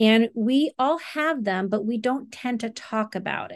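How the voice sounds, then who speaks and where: Against a quiet background, a woman with a plain, everyday voice speaks at a moderate pace, her fairly high pitch showing ordinary variation. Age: 50s. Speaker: marriage and family therapist and meditation teacher. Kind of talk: interview.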